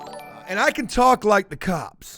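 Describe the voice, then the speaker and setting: Shouting over music in the background, a man uses lively intonation. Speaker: streamer making prank calls to scammers. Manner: loud, always yelling.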